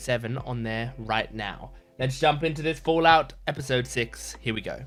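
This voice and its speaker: A man with an Australian accent. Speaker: YouTube reaction creator. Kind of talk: casual chat. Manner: halting, stumbling over words.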